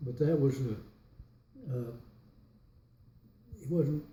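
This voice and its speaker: Speaking with an American accent at a very slow pace, a man's medium-pitched voice is somewhat breathy and dark and mellow in tone, with fairly even intonation. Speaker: World War II veteran. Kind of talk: interview answer. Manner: hesitant, rambling.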